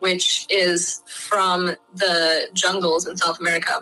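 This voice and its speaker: A woman with a Midwestern US accent at a medium pitch and very slow pace, with music in the background. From US Midwest (Michigan). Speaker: Kambo practitioner. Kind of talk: casual explanatory conversation. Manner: hesitant, frequent filler words.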